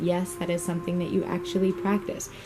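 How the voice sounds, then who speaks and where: Music plays behind a woman talking. Her pitch is fairly low. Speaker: vintage singer and reenactor. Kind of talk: voiceover vlog narration.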